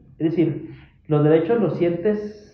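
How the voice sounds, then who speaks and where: Room echo can be heard. A man talks within it. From Mexico, Chihuahua (Parral). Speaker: human rights commission staff. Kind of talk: casual interview. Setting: office visit.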